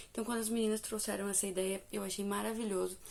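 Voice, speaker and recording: The voice is a plain, everyday voice. It moves at a fairly quick pace with fairly even intonation. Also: woman. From Brazil. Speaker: book reviewer and devotional youtuber. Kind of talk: casual vlog review.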